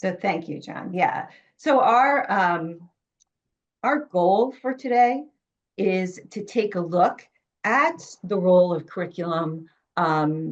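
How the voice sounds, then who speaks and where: Woman in a New York accent, medium pitch, lively intonation, very slow pace and long, frequent pauses. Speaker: education author and curriculum consultant. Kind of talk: webinar presentation.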